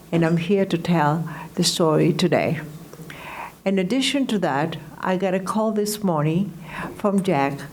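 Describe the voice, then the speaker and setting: A woman speaks in a fairly low pitch, leaving long, frequent pauses. Audible room echo and noticeable background noise fill the recording. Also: very even loudness. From Greece. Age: 80s+. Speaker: Holocaust survivor and entertainer. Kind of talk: testimony.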